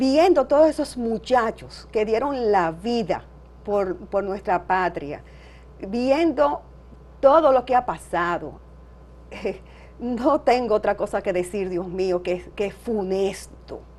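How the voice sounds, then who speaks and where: A woman's fairly high voice, very slow, with lively intonation. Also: long, frequent pauses. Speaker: daughter of a revolutionary. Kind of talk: interview.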